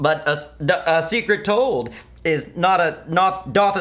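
At a fairly slow pace, a man talks in a high voice with ordinary pitch variation. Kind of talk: scripted comedy dialogue. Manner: slurred, stumbling drunk speech. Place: home room.

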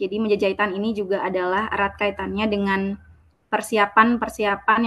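A woman speaks in a bright, sharp tone against a quiet background. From Bali. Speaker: researcher presenter; presenter. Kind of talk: conference presentation. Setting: video call. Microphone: video call.

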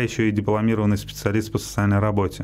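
Against light background noise, a man with a fairly low pitch talks at a very fast pace. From Russia, Moscow region (Likino-Dulyovo); Russia. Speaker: Paralympic cyclist; guest. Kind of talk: radio interview. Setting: radio studio. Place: studio. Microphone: studio mic.

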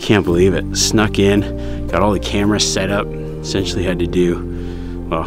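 Clear music plays behind a man talking at a moderate pace with ordinary pitch variation. The sound is dry with no echo. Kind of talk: casual hunting vlog commentary. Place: open country. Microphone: phone near.

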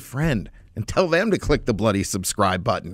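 A man speaks at a moderate pace with vocal fry and very wide pitch swings. The sound is dry with no echo, over a quiet background. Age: 40s. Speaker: political talk show host. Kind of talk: casual chat. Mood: opinionated, sarcastic, jovial. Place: studio. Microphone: studio mic.

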